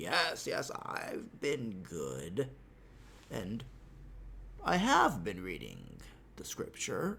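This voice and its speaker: A put-on character voice moves at a very slow pace with long, frequent pauses, against clear background noise. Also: man. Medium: read story.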